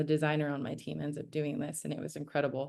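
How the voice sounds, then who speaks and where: A woman with a very deep, low pitch and a dark, mellow tone talks at a fairly quick pace. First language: Spanish. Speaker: startup founder. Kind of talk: presentation. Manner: animated storytelling.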